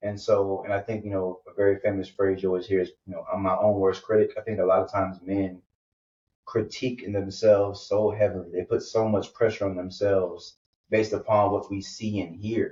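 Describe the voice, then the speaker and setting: His intonation monotone and flat, a somewhat breathy man speaks at a fairly low pitch. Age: 30s. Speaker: podcast host, guest on another show. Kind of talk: casual conversation, interview. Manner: halting, many fillers.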